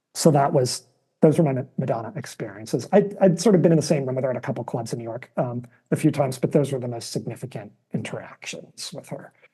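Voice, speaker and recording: Speaking very fast, a man has a fairly high, somewhat breathy voice with a dark, mellow tone. His intonation is lively and his loudness swings widely. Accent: American. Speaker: television producer. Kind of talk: casual chat. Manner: soft-spoken.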